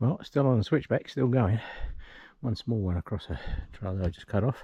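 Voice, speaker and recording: A man's dark, mellow voice at medium pitch and a moderate pace. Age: 60s. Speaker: hiking vlogger. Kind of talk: solo hiking vlog narration. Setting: outdoors on a mountain trail. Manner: loud to warn off bears.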